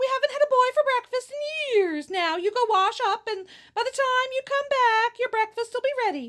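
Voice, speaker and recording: Using a put-on character voice, a woman squeaks at an extremely high pitch and a moderate pace. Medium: read story. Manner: motherly, fussing.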